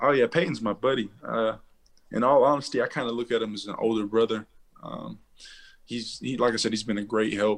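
Fairly even intonation from a man in a plain, everyday voice. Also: medium pitch for a man, fairly quick pace. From Central Texas, Waco area. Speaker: college football player, draft prospect. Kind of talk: interview.

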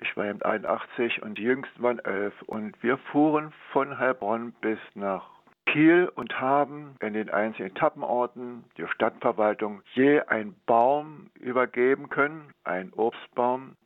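A man talks at a very slow pace. His medium-pitched voice has ordinary pitch variation. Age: 80s+. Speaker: former Olympic cyclist and teacher. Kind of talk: interview.

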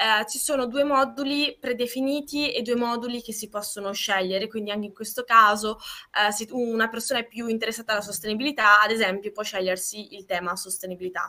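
A woman speaks at a fairly quick pace in an unremarkable speaking voice, with ordinary pitch variation. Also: fairly high pitch for a woman. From Trentino, northern Italy. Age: 20s. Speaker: law student, project founder. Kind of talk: casual interview.

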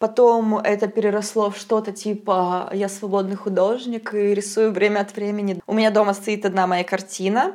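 A woman with a medium-pitched voice talks at a moderate pace and fairly even intonation, with noticeable background noise behind her. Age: 20s. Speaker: podcast host. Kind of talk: casual chat. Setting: kitchen.

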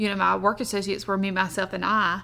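This woman speaks in a Southern US accent at a medium pitch. Her tone is bright and sharp. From US South. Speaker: podcast host, army wife, entrepreneur. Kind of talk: casual chat.

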